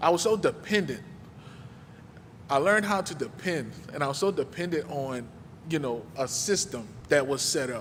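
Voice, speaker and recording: Speaking with an American accent at a moderate pace, a man has fairly high pitch and lively intonation, with long, frequent pauses. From New Orleans, Louisiana. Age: 30s. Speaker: guest speaker, community mentor. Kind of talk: personal testimony talk at a church service. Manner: casual, conversational.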